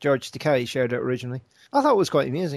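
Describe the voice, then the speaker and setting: Against a quiet background, a man speaks at a medium pitch. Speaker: podcast host. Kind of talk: casual chat.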